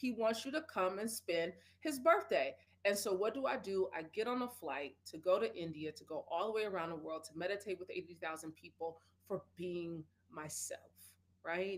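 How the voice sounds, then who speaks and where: Over noticeable background noise, a woman with a medium pitch speaks at a moderate pace in an animated tone with lively intonation. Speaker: speaker and wellness advocate. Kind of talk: interview. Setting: live stream. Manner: loud.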